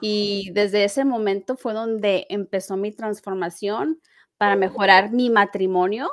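Against a quiet background, a woman speaks fairly slowly at a fairly high pitch with ordinary pitch variation. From Mexico. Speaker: life coach. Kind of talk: interview. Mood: warm, heartfelt, animated.

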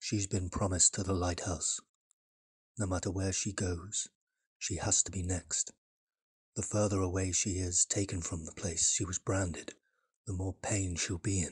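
A man puts on a character voice, low in pitch with a husky, rough edge, speaking at a fairly slow pace with little pitch movement.

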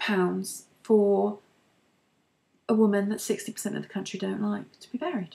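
Big swings in loudness mark a woman's speech. She talks at a fairly slow pace with long, frequent pauses. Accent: British. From UK. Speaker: beauty and lifestyle vlogger. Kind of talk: casual monologue vlog. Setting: at home, recording to camera. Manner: hesitant, many fillers. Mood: opinionated, conversational. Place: home room. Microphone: webcam.

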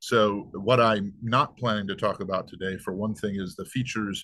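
A man's fairly low voice with fairly even intonation against a quiet background. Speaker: presenter. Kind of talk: lecture. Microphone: webcam.

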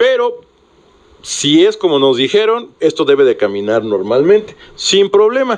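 A man speaks at a fairly slow pace, his loudness very even throughout. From Mexico. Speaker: sports radio host. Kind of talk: sports talk radio. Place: studio. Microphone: studio mic.

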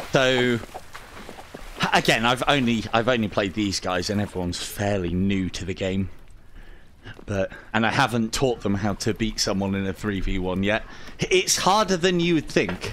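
In an English accent and a fairly low pitch, a man speaks at a fairly slow pace with a playful tone, ordinary pitch variation, and long, frequent pauses. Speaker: VR gaming channel host. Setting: online multiplayer voice chat. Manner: chatty, playful commentary.

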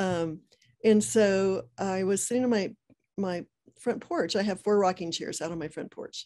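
Against a quiet background, a dark, mellow tone moves at a moderate pace with ordinary pitch variation. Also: woman, medium pitch for a woman. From United States. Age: 60s. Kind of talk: interview. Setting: video call. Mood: warm, earnest, faith-filled. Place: home room. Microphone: video call.

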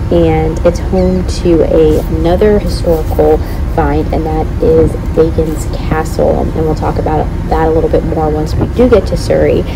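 A woman talks at a fairly slow pace. Noticeable background noise runs beneath her. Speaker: travel vlogger. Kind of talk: casual vlog chat. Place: boat. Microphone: phone near.

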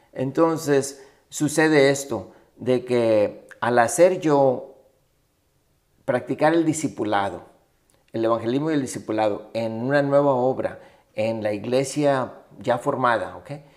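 Against a quiet background, a man at a medium pitch talks at a fairly slow pace with ordinary pitch variation and long, frequent pauses. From Mexico-Texas border, Matamoros and Rio Grande Valley; Texas. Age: 60s. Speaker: Baptist missions director, pastor; interview guest, pastor. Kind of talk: interview conversation. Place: home room. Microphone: studio mic.

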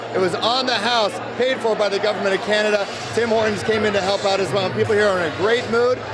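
A high-pitched man at a very fast pace, with fairly even intonation and very even loudness over loud background noise. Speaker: sports reporter. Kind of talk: live on-location news report. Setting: outdoors. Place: bar. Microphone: handheld.

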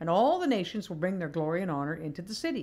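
At a fairly quick pace, a woman talks with very wide pitch swings. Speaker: devotional speaker. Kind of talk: prayer, then a devotional talk. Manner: tender, reflective, emotional about her mother's death. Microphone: webcam.

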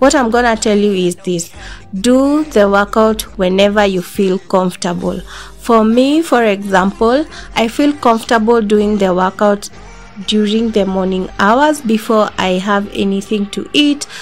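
A woman at a fairly slow pace with ordinary pitch variation, faint music in the background. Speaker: fitness vlogger. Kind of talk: casual vlog chat. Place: home room.

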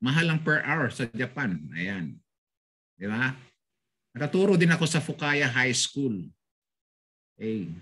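A man's fairly slow delivery with a bright, sharp tone, vocal fry, very wide pitch swings, long and frequent pauses, and a quiet background. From Philippines, Bulacan; Philippines. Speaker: language teacher. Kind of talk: online language lesson. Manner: animated. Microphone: video call.

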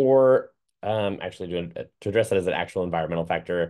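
A man speaks at a fairly quick pace in a fairly low voice. The background is quiet. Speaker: certified dog trainer. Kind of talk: lecture. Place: home room. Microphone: webcam.

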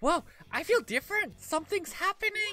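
Put-on character voice at an extremely high pitch, strained, at a moderate pace. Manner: astonished.

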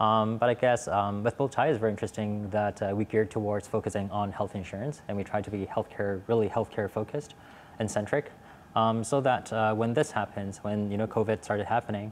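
Fairly low male voice with an American accent, fairly even intonation and a fairly quick pace over light background noise. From Hong Kong. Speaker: startup executive; panelist. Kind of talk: panel discussion. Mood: relaxed, engaged. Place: studio. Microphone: lapel.

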